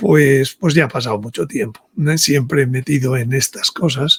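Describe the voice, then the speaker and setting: A somewhat breathy voice at a moderate pace with ordinary pitch variation, dry and close with no echo. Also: man. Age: 70s. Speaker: author and speaker on religious topics. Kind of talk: interview. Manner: halting, with many repetitions.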